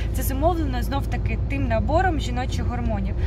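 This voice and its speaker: Clear background noise around a woman's dry, echo-free voice. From Ukraine. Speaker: vocal teacher. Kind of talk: tutorial. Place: car. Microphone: phone near.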